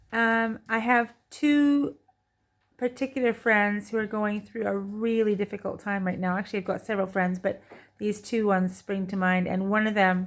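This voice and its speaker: In a very clean recording with a silent background, a woman speaks in a normal speaking voice of medium pitch, at a moderate pace with fairly even intonation. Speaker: vlogger. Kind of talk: casual monologue. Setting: home, by a window.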